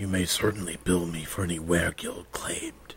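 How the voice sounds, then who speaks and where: A man speaks at a very deep, low pitch with a monotone, flat intonation. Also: moderate pace. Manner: cold, casual, aloof.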